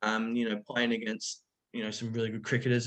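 Speaking with an Australian accent, the man's voice rests at a medium pitch. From far north Queensland, Australia. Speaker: cricketer. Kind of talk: casual chat.

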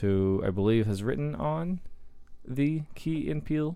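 A man's pitch swings very widely. The recording is very clean with a silent background. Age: 20s. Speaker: podcast host, movie reviewer. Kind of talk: reading film summary; casual chat. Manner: fast.

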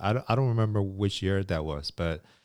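A man is heard on a very clean recording with a silent background. The sound is dry and close, with no echo. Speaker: podcast co-host. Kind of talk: casual chat.

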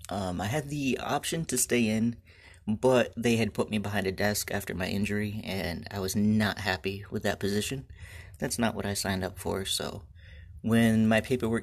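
A man with an ordinary speaking voice talks at a moderate pace with ordinary pitch variation in a very clean recording with a silent background. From Michigan. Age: 20s. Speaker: beekeeper, podcast host. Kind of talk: solo podcast monologue. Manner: casual, with frequent fillers.

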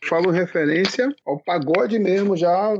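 A man speaks with a high pitch. The sound is dry and close, with no echo. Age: middle-aged. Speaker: pagode musician, band founder. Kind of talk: casual interview.

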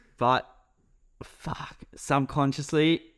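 This is a very clean recording with a silent background. The voice comes with an Australian accent. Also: man. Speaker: podcast co-host. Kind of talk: casual chat.

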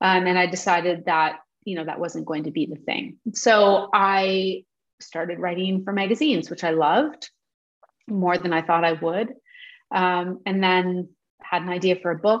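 She has an unremarkable speaking voice at a medium pitch. The woman talks at a moderate pace with ordinary pitch variation. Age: 40s. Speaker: novelist and journalist. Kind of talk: interview conversation.

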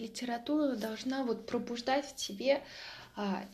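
A high-pitched woman's voice, fairly even in intonation, at a very slow pace. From Russia, Mtsensk (Oryol region). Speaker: vlogger. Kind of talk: casual vlog monologue. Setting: at home.

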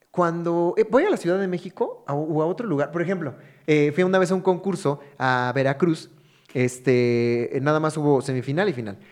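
With a plain, everyday voice, a man speaks at a moderate pace, fairly high in pitch, with ordinary pitch variation. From Mexico, Hidalgo. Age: 30s. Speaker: stand-up comedian. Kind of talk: casual chat.

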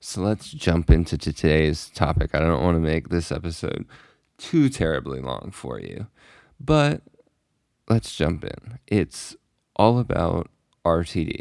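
Very clean and silent in the background, this recording has a man speaking fairly slowly in a very deep, low voice, with lively intonation, big swings in loudness and long, frequent pauses. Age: 20s. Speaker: podcast host. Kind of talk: casual solo chat. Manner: hesitant, many fillers.

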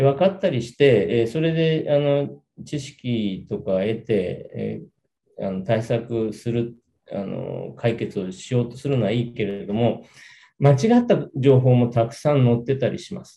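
A man speaks at a medium pitch and a fairly slow pace, his tone dark and mellow and somewhat breathy. His intonation is lively, and his loudness swings widely. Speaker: lawyer. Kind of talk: interview. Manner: halting.

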